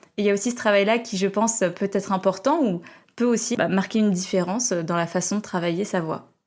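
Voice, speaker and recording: This woman talks at a fairly quick pace with ordinary pitch variation and a medium pitch. The recording is very clean, with a silent background. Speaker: podcast host and coach. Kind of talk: interview. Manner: dynamic.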